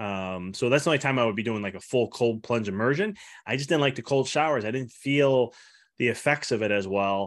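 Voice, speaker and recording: A man talks at a fairly quick pace with ordinary pitch variation and an unremarkable speaking voice. The recording is very clean, with a silent background. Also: medium pitch for a man. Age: 30s. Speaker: chiropractor and health coach. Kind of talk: interview.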